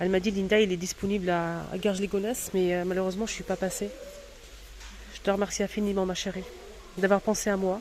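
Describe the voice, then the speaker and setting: Over noticeable background noise, a woman speaks at a very fast pace in a monotone, flat intonation, broken by long, frequent pauses. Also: medium pitch for a woman. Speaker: vlogger. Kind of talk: shopping vlog. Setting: in a store. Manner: hesitant, many fillers.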